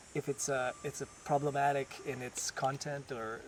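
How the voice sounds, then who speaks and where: Monotone, flat delivery with a slight French Canadian accent. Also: man. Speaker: ballet dancer. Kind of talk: casual interview. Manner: halting, many restarts.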